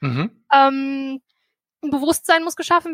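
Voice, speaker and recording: Her voice is high-pitched, and this woman is recorded with a dry, close sound and no echo. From Germany, Meerbusch near Düsseldorf. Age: 20s. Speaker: student and mayoral candidate. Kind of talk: interview. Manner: halting.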